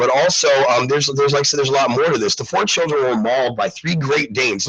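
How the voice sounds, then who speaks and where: Against noticeable background noise, a man with a fairly high pitch talks at a very fast pace with ordinary pitch variation. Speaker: internet radio show host. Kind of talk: live news talk show. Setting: live online broadcast.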